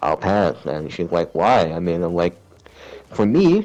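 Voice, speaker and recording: Gravelly and very deep, this man's voice sits at a very low pitch. He talks at a fairly slow pace. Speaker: gamer. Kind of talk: casual chat. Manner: raised pitch, higher than natural; halting, many fillers.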